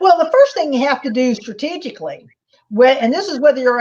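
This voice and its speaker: An American accent with lively intonation. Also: woman. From US, rural Oklahoma. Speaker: market strategist. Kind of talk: interview conversation. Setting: live online video stream. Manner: blunt, passionate.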